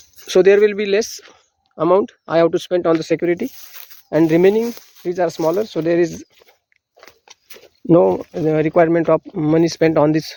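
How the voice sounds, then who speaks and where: In an Indian accent, a man speaks with a high pitch and ordinary pitch variation. Long, frequent pauses break up his speech, and the sound is dry and close, with no echo. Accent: Indian (Marathi) English. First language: Marathi. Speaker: farmer. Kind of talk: outdoor farm tour tutorial. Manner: halting.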